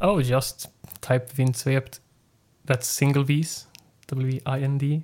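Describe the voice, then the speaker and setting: Speaking in a Swedish accent, a man delivers his words at a fairly high pitch in a monotone, flat intonation. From northern Sweden. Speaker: independent musician. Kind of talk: casual chat.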